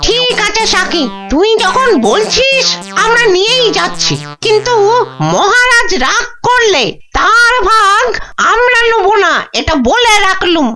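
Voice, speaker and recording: A cartoonish character voice at an extremely high pitch. It moves at a fairly slow pace over clear background noise. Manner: grumbling, skeptical.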